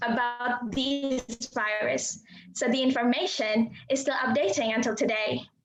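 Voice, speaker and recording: Her voice sits high in pitch. The intonation holds fairly even throughout. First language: not English. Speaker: university student. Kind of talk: prepared speech. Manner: formal.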